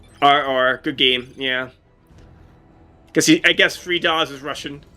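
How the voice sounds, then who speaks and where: The speech moves at a fairly slow pace with fairly even intonation but big swings in loudness. Music is in the background. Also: man, fairly high pitch for a man. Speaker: gaming streamer. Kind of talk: live gameplay commentary. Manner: halting, stuttering; casual, filler-heavy.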